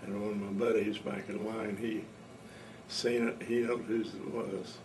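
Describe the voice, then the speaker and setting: Here a man speaks with a Midwestern US accent, fairly low in pitch and fairly even in intonation. Noticeable background noise and audible room echo come through. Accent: rural Midwestern American. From Indiana. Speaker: war veteran. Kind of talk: oral history interview. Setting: at home. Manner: casual.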